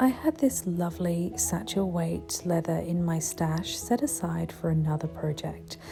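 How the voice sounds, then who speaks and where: A soft-spoken voice with a soothing tone moves at a fairly slow pace with hardly any pauses. Music plays in the background. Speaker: hobby maker. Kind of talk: ASMR craft tutorial narration. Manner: softly spoken, soothing.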